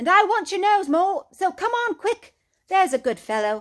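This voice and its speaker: In a very clean recording with a silent background, a woman uses a put-on character voice. She speaks raised and projected at a moderate pace. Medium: read story. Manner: brisk, cheerful.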